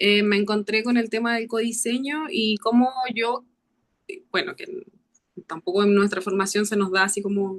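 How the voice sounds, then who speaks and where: A woman speaks at a fairly high pitch with fairly even intonation, leaving long, frequent pauses. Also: moderate pace. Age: 40s. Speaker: architecture student. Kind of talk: self-introduction in class.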